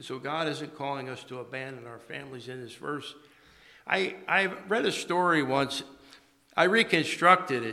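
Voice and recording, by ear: In a rural American accent, a man talks at a moderate pace with ordinary pitch variation and vocal fry. His tone is bright and sharp, with audible room echo. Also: medium pitch for a man. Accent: American, rural twang.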